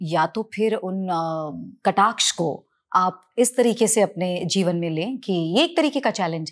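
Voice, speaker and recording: A woman's ordinary speaking voice, medium in pitch and lively in intonation, on a very clean recording with a silent background. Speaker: television actress and singer. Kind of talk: interview conversation.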